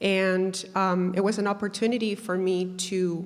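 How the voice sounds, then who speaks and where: A woman speaks at a medium pitch. She has a Spanish accent. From Peru, raised in Canada from childhood. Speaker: mental health advocate and artist. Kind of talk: workshop talk, personal story. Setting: university event with audience. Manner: hesitant, many fillers.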